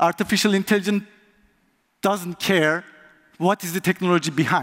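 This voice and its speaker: In a dry, close sound with no echo, a man with a Turkish accent speaks at a moderate pace in a high voice with ordinary pitch variation. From Turkey. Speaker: conference speaker, software tester. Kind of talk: conference talk.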